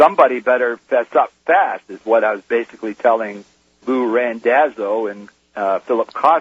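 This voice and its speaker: Recorded dry and close with no echo, a man uses a normal speaking voice at medium pitch and moderate pace, with ordinary pitch variation and big swings in loudness. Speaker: whistleblower. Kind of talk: testimony. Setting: phone call.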